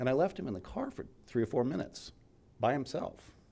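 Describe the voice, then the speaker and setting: Vocal fry runs through this voice with an American accent. The speech has lively intonation and a fairly quick pace. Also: man. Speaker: journalist, eulogy speaker. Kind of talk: memorial speech. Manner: casual, conversational.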